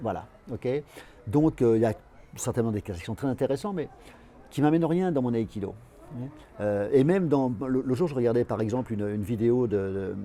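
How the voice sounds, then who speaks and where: Long, frequent pauses break up a man's lively intonation at a medium pitch. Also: moderate pace. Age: 60s. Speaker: aikido teacher. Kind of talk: interview. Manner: halting, many repetitions and fillers.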